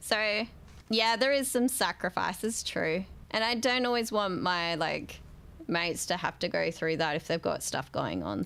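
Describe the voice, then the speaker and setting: A woman with an Australian accent talks at a fairly slow pace in a medium pitch, her intonation lively, on a very clean recording with a silent background. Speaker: gaming streamer. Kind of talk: casual live-stream chat.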